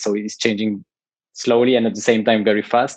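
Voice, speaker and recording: In a French accent, a man speaks at a fairly low pitch with monotone, flat intonation. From France. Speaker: tiny house company founder. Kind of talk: podcast interview. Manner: hesitant, many fillers and repetitions.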